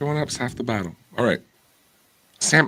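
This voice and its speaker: This man's voice has vocal fry. His pitch makes very wide swings. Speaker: animation studio lead. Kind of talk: livestream discussion.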